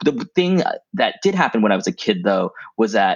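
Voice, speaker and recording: Against a quiet background, a man speaks at a very fast pace with very wide pitch swings and a dry, close sound with no echo. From Thailand and US, Thai American. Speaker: comic book writer and TV writer. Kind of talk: interview.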